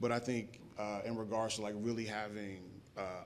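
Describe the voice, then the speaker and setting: A man talks at a fairly low pitch. Audible room echo and noticeable background noise surround his voice. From South Carolina, Rock Hill. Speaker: panelist, startup professional. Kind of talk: panel discussion. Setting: stage with live audience. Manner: hesitant, filler-heavy.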